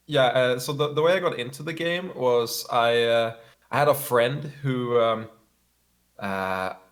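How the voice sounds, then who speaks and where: With a Swedish accent, a man talks at a fairly slow pace. His pitch is medium and its variation ordinary. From Sweden. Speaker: competitive gamer. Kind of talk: interview. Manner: halting, frequent fillers and repeats.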